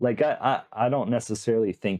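A man's relaxed tone and lively intonation at a fairly slow pace, in a very clean recording with a silent background. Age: 40s. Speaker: magician and coin magic creator. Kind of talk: casual interview chat. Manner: slow, relaxed speaker.

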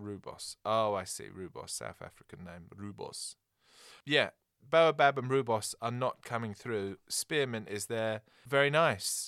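The delivery is fairly slow, with ordinary pitch variation and big swings in loudness. The recording is very clean and close, dry with no echo, over a silent background. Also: man, medium pitch for a man. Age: 30s. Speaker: taxidermy dealer. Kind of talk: casual chat.

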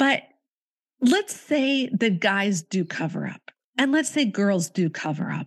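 At a very slow pace, a woman with a Canadian accent speaks at a medium pitch, somewhat breathy and with very wide pitch swings, the sound dry and close with no echo. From Canada. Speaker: author and podcast host. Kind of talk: interview.

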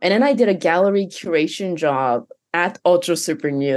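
In a quiet background, a woman with a very deep, low voice speaks at a moderate pace with lively intonation. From Japan and Canada. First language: Japanese. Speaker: virtual humans producer. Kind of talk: casual interview chat.

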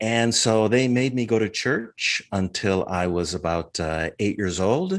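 Against a quiet background, a man with an American accent uses ordinary pitch variation in a plain, everyday voice. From Minnesota, US Midwest. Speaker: martial arts instructor. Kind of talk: interview testimony.

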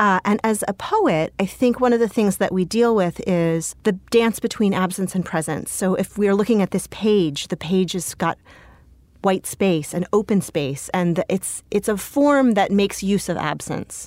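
In a plain, everyday voice, a woman with an American accent speaks at a medium pitch and moderate pace with ordinary pitch variation, on a very clean recording with a silent background and a dry, close sound with no echo. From California, Bay Area. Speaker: poet. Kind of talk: interview.

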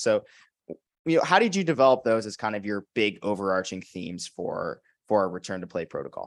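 With a silent background, this very clean recording sounds dry and close, without any echo. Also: man. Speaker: podcast host. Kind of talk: casual interview chat.

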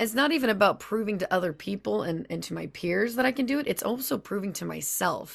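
With vocal fry and an animated tone, a woman talks at a very fast pace with lively intonation and hardly any pauses. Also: medium pitch for a woman, very clean recording, silent background. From Louisiana. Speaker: voice actor. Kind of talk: casual chat.

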